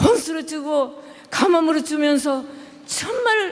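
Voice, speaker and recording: A speaker with a non-native accent is heard over noticeable background noise. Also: woman. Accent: non-native Korean pronunciation. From Japan. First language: Japanese (speaking Korean). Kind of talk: religious discussion. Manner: halting.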